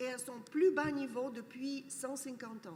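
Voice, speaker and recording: In a room with audible echo, a woman speaks very slowly at a high pitch. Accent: non-native. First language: not French (speaking French). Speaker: academic speaker. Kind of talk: conference talk. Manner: hesitant, with fillers.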